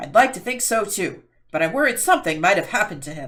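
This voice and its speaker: A put-on character voice, fairly high and very fast, with very wide pitch swings. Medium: read story.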